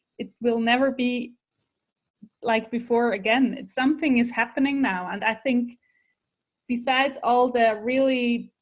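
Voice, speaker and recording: In a very clean recording with a silent background, a woman speaks at a fairly slow pace in a high pitch. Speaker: podcast host. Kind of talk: interview conversation. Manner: halting.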